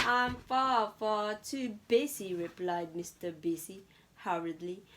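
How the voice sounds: The speaker uses a natural reading voice. The words are read aloud.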